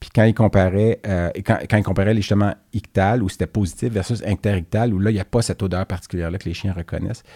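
A man speaks in a fairly low, dark, mellow voice with a Quebec accent and monotone, flat intonation. The sound is dry and close with no echo, on a very clean recording with a silent background. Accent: Québécois French. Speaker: veterinarian podcast co-host. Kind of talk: casual chat.

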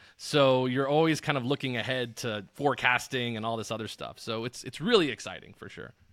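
A man with an American accent and a plain, everyday voice speaks at a medium pitch with ordinary pitch variation, at a fairly quick pace with hardly any pauses and big swings in loudness, on a very clean recording with a silent background. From Arizona, Tucson. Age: young. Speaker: sports betting analyst. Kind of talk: casual interview.

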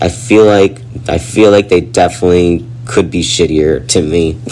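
Over noticeable background noise, the speaker talks at a moderate pace with lively intonation. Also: man. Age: 20s. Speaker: podcast host. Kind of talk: solo personal monologue.

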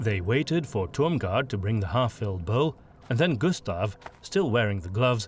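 The clip is reading aloud in a natural voice with lively intonation.

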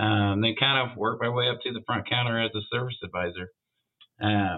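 A man talks in a plain, everyday voice at a moderate pace, his medium pitch carried in fairly even intonation. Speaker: auto shop vice president. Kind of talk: interview, casual conversation.

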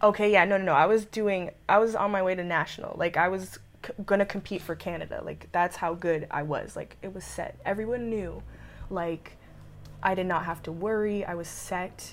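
Her loudness swings widely as a woman at medium pitch speaks at a moderate pace with fairly even intonation. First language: French. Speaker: jiu-jitsu athlete and pre-med student. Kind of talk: casual interview.

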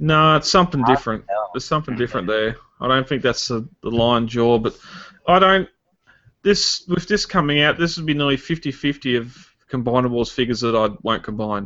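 A man talks with an Australian accent at a medium pitch. His pace is fairly quick and his intonation lively. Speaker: podcast co-host. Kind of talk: casual chat.

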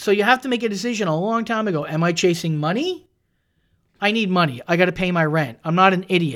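A man talks at a very fast pace with a high pitch. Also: lively intonation, very clean recording, silent background. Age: 40s. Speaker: comedian. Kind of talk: casual chat. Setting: studio.

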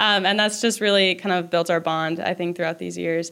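With an American accent, a woman talks at a medium pitch with fairly even intonation in an ordinary speaking voice. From Minnesota. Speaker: college gymnast. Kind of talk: interview.

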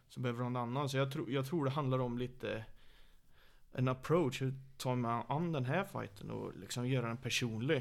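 A man speaks at a fairly quick pace with a medium pitch and fairly even intonation. He has a plain, everyday voice. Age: 30s. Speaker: MMA coach. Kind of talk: casual chat. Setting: living room, shared mic.

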